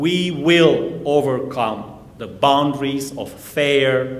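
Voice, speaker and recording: A man with a Hungarian accent speaks very slowly at a medium pitch. There is noticeable background noise and audible room echo. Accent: non-native English, Hungarian. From Transylvania, Romania (Hungarian Székely). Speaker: minister and church history professor. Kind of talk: sermon. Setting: church. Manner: formal.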